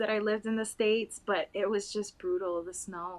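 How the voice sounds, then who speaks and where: A woman speaks with a Spanish accent at a moderate pace. Her pitch is fairly high, with ordinary variation. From Puerto Rico. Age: 20s. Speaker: interview guest. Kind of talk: interview.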